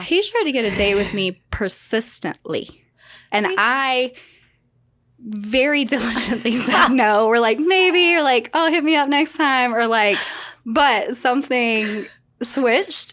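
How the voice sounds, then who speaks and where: A high-pitched woman's voice with lively intonation at a fairly slow pace, in a very clean recording with a silent background. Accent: Southern US. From South Carolina, USA. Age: 30s. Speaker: mortgage lender. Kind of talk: podcast interview answer. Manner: vibrant, lively.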